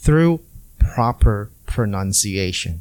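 A man speaks at a very slow pace with very wide pitch swings, on a very clean recording with a silent background. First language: non-English native language. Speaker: podcast host and ESL teacher. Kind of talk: solo educational podcast tutorial. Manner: clear, deliberate teaching pace.

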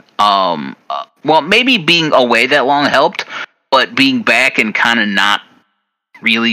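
The tone is bright and sharp. A man talks at a very slow pace. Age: 30s. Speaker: wrestling podcast host. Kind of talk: casual chat.

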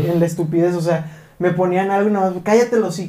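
A speaker with a Mexican accent talks at a fairly quick pace in a dark, mellow tone, with fairly even intonation and audible room echo. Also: man. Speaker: podcast co-host. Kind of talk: casual chat.

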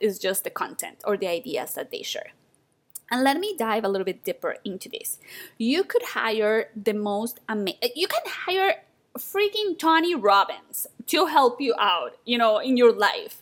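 A woman with a non-native accent speaks at a fairly slow pace. Her high voice makes very wide pitch swings. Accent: foreign-accented English. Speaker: podcast host and photography business mentor. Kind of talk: solo podcast monologue.

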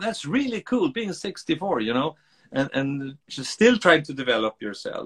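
Recorded with a dry, close sound with no echo, a man speaks with a Swedish accent. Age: 60s. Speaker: author and speaker. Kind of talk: interview conversation. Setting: video call.

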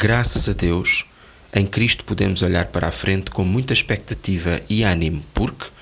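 Against noticeable background noise, a man with a European Portuguese accent speaks at a moderate pace, his very deep, low pitch showing ordinary variation. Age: 60s. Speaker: devotional speaker. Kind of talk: scripted devotional reading.

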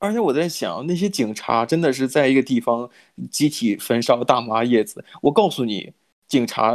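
Lively intonation colors a man's moderately paced speech. The background is silent, and the recording very clean. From mainland China. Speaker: podcast co-host. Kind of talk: casual chat. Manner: hesitant, many filler sounds.

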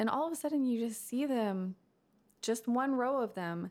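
In a very clean recording with a silent background, a woman with an American accent speaks in an unremarkable speaking voice. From Texas, McKinney. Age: 20s. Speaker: podcast host. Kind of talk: casual chat.

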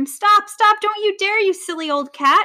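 Putting on a character voice, the woman pitches it extremely high. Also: moderate pace. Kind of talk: shrill, scolding. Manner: screeching, horrified.

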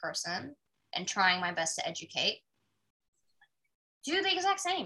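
A woman's bright, sharp voice with very wide pitch swings. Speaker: podcast host. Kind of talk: casual chat. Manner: animated.

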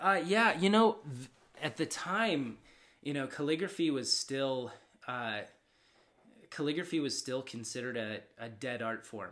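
Delivery is fairly slow, with long, frequent pauses. Pitch swings are very wide and loudness shifts a lot. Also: man, fairly high pitch for a man, very clean recording, silent background. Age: 30s. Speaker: calligrapher. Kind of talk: casual interview chat.

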